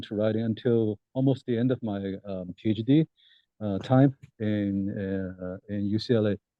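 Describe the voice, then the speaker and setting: A man's fairly low-pitched voice with a Chinese accent. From China (Shanghai). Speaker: political science professor. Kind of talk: interview. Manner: halting, many fillers.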